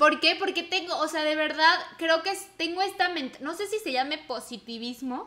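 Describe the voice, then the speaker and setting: This woman talks in a raised, projected voice with a bright, sharp tone. Her pitch is high and her intonation lively. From Mexico. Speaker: podcast co-host. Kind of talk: casual chat.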